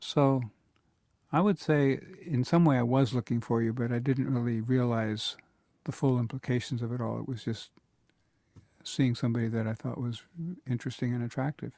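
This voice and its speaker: A man with a dark, mellow tone and medium pitch speaks at a fairly quick pace with fairly even intonation and long, frequent pauses. The recording is very clean, with a silent background. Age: 70s. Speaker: storytelling interview participant. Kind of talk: recorded personal conversation. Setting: mobile recording studio.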